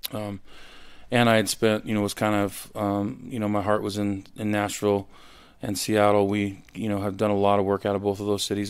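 A man with an American accent talks at a fairly quick pace. His pitch is fairly low and his intonation monotone and flat. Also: very clean recording, silent background. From US Pacific Northwest. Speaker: record producer. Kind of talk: casual chat.

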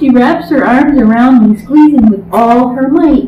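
A woman's high-pitched voice shows ordinary pitch variation, with audible room echo and light background noise. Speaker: grandmother. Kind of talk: reading aloud. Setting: at home with baby on lap. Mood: warm, gentle, affectionate. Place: home room. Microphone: camera far.

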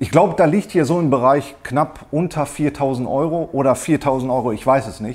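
Ordinary pitch variation from a man, delivered at a moderate pace. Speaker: woodworking hobbyist reviewer. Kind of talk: casual product review chat. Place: workshop.

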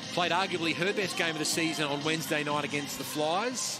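Noticeable background noise accompanies a man speaking at a moderate pace with a fairly high pitch. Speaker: basketball commentator. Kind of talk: live sports commentary. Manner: animated, upbeat.

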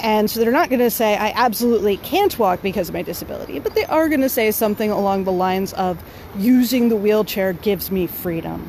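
The voice shows ordinary pitch variation, with light background noise and a dry sound with no echo. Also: woman. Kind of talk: casual vlog chat. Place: waterside. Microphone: phone near.

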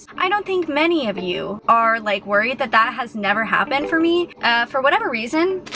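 Delivered at a fairly quick pace with hardly any pauses, the speech shows very wide pitch swings, dry sound with no echo, and light background noise. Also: woman, high pitch for a woman. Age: 20s. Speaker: YouTuber, food reviewer. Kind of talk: casual talk to camera, food review. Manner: casual, chatty, humorous. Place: car. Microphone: phone near.

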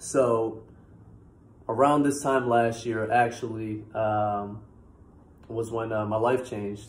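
A man's medium-pitched, somewhat breathy voice with an American accent, flat and monotone, very slow with long, frequent pauses. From Massachusetts, US. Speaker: YouTuber. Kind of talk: testimony. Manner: casual, halting with fillers. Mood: relaxed, earnest. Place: home room. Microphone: phone near.

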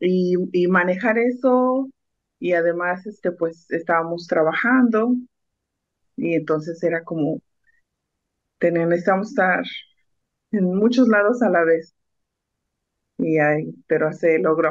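Against a quiet background, a woman with a fairly low pitch and lively intonation speaks at a fairly slow pace with long, frequent pauses. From Mexico, Oaxaca (Mixteca region); Oaxaca, Mexico. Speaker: food truck owner; guest. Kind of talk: radio interview. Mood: warm, proud. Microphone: video call.

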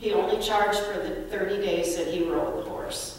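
The recording carries strong room echo along with light background noise. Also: woman. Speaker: speaker. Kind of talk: eulogy storytelling. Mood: warm, reminiscing. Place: church.

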